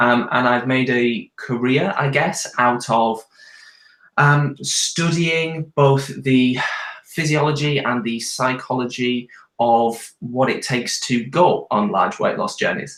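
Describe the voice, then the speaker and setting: Speaking at a very slow pace with ordinary pitch variation, the voice has a British accent. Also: man, medium pitch for a man. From UK. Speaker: nutritionist and weight loss coach. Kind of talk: live Q&A video chat. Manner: hesitant, many ums.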